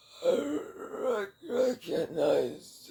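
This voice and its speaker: Putting on a character voice, a man sounds raspy at an extremely high pitch. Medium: read story.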